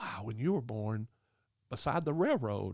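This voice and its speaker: This very clean recording with a silent background features a man of medium pitch with an American accent. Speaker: podcast host. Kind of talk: casual chat.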